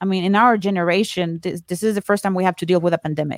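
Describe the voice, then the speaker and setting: A woman speaks with ordinary pitch variation. The sound is dry and close with no echo, a very clean recording with a silent background. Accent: Spanish. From Colombia. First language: Spanish. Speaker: podcaster and course creator. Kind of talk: casual chat.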